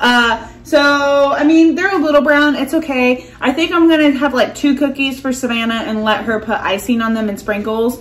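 At a moderate pace and with few pauses, a woman talks in a high pitch over faint background noise. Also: fairly even intonation.

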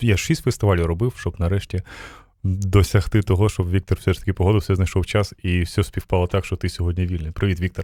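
Very deep and low, a man's somewhat breathy voice has a dark, mellow tone and fairly even intonation, moving at a fairly quick pace in a dry, close sound with no echo. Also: very clean recording, silent background. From Ukraine. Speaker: radio host. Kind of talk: casual interview. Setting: live radio broadcast at a festival.

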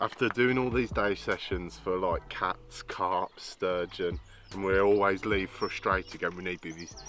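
A man speaks at a moderate pace in a very deep, low pitch, with a dry sound with no echo and faint music in the background. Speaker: fishing vlogger. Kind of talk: casual vlog chat. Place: waterside.

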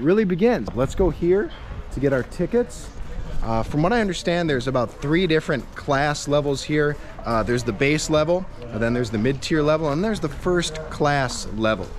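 A man talks at a moderate pace against light background noise. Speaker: travel vlogger. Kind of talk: casual vlog chat. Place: street. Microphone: phone near.

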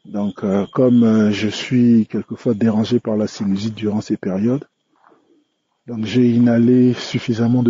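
A man's monotone, flat intonation at a fairly slow pace. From DR Congo. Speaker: listener giving testimony. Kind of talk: recorded testimony. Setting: recorded on the way home.

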